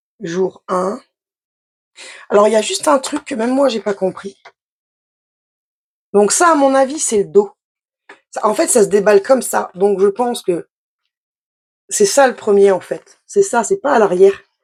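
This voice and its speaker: Fairly high in pitch, a woman speaks with lively intonation, leaving long, frequent pauses. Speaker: craft youtuber. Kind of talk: unboxing tutorial. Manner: fast; casual, hesitant.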